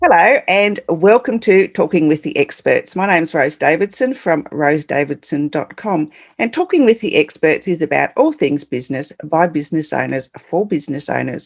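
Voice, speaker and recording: A woman with an Australian accent and a fairly low pitch, at a moderate pace with lively intonation and hardly any pauses. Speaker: podcast host. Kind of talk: interview.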